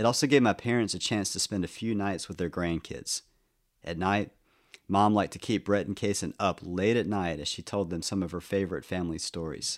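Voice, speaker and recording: A plain, everyday voice belongs to a man who talks at a fairly quick pace with a fairly low pitch. His pitch varies in an ordinary way, and the recording is very clean with a silent background. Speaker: podcast narrator. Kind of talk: scripted personal narration, reflective memoir storytelling about aging parents. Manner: measured; tender, wistful.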